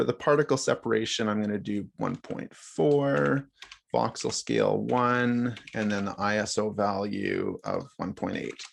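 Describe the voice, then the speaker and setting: A man's unremarkable speaking voice at medium pitch with lively intonation. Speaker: workshop instructor. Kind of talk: live software tutorial. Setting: video call.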